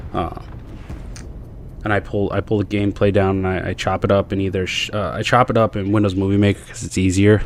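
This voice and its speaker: A man's fairly low, monotone voice with flat intonation at a fairly quick pace, against noticeable background noise. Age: 30s. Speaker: gaming youtuber. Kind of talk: casual gameplay commentary monologue. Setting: home room, gaming at night. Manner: fast; audible deep breaths, filler-heavy.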